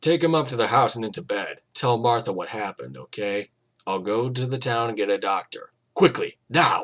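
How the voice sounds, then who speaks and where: In a put-on character voice, a man speaks at a medium pitch with ordinary pitch variation. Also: moderate pace. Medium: read story. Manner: slow, calm and menacing.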